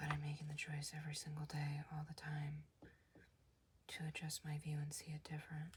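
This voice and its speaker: Soft-spoken and calm in tone, at a moderate pace with hardly any pauses. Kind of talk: comic book reading. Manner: soft-spoken, calm.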